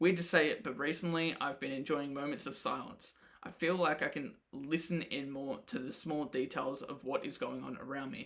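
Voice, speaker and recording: A man with an Australian accent, fairly high pitch, moderate pace and hardly any pauses. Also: ordinary pitch variation. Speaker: podcaster and rapper. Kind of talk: audio diary. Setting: home, late at night. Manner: casual.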